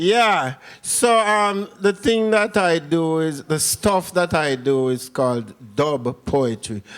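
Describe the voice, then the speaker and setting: With a Jamaican accent, a man speaks at a very slow pace, fairly high in pitch with very wide pitch swings and very even loudness, in a very clean recording with a silent background. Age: middle-aged. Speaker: dub poet. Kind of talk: spoken word performance. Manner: rhythmic.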